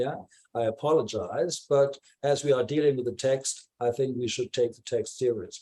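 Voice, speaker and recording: A man with a dark, mellow tone, medium pitch, a moderate pace and big swings in loudness. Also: ordinary pitch variation. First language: not English. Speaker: discussion participant in art forum. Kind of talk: group discussion. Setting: video call. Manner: halting, many fillers.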